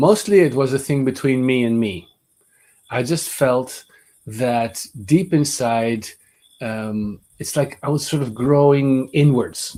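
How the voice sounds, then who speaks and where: A man with a Dutch accent speaks at a very slow pace with long, frequent pauses. His dark, mellow tone sits at a medium pitch with ordinary pitch variation. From Netherlands, Amsterdam. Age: 50s. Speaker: voice teacher. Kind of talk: webinar lecture. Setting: online webinar.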